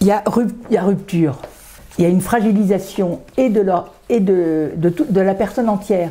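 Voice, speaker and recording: A woman speaks at a medium pitch and a moderate pace, with ordinary pitch variation and very even loudness. Noticeable background noise is present. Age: 70s. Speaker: association vice-president, retired neuroscientist. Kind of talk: interview. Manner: hesitant, many filler sounds.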